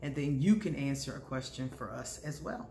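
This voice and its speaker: A woman with lively intonation over light background noise. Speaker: vlogger, astrology reader. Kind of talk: casual vlog chat. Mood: cheerful, warm. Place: home room. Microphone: phone near.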